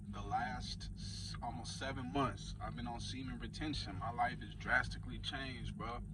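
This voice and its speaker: The speech moves at a moderate pace with hardly any pauses. There is noticeable background noise and audible room echo. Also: man. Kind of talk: casual monologue vlog. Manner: stuttering, off the cuff.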